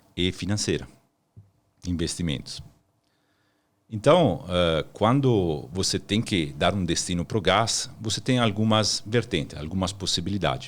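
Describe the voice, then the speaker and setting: A man with an Italian accent, speaking at a fairly slow pace with lively intonation. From Italy, Milan. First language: Italian (speaking Portuguese). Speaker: energy consultant. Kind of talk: podcast interview.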